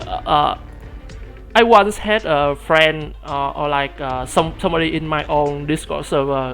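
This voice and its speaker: The speaker has a Vietnamese accent. The pace is fairly slow. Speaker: streamer. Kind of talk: livestream commentary while reading game story aloud. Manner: halting, many fillers and repetitions.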